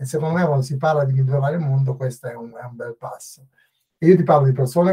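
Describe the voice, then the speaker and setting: The voice has a dark, mellow tone and is somewhat breathy. It moves at a very fast pace with fairly even intonation. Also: man. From northern Italy. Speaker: agency executive and author. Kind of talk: podcast interview. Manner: halting.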